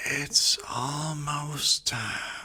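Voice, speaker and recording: Pitched low-to-middle, a raspy put-on character voice delivers the lines. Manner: whispering.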